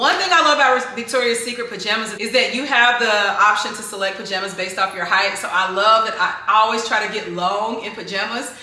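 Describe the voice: In a room with audible echo, a woman speaks at a fairly quick pace with few pauses, a medium pitch, a bright, sharp tone and ordinary pitch variation.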